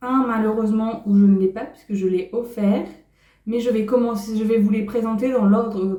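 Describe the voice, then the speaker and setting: In a room with audible echo, a woman with a fairly high pitch and a dark, mellow, somewhat breathy tone speaks at a fairly slow pace. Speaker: sewing and knitting YouTuber. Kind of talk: casual vlog talk.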